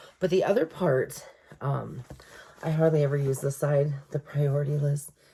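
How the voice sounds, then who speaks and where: Speaking with fairly even intonation, a woman has a very deep, low pitch over noticeable background noise. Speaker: journaling vlogger. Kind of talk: casual chat. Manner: fast.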